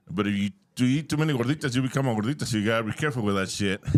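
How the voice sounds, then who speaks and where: A man talks at a very fast pace with a Spanish accent. His intonation is lively. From Mexico. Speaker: comedian. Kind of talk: stand-up.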